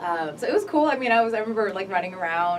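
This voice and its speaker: A woman with a Californian accent, with audible room echo and noticeable background noise. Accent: Californian American English. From Los Angeles County suburbs, US. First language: Korean. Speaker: spoken word poet. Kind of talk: radio interview. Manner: halting, many fillers.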